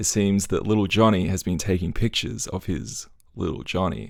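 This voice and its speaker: In an Australian accent, a man talks at a moderate pace with a fairly low pitch. The recording is very clean, with a silent background. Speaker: YouTuber. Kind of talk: commentary video. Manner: animated.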